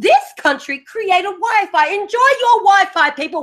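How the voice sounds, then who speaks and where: A woman with an Australian accent and very wide pitch swings. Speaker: podcast host. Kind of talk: casual chat.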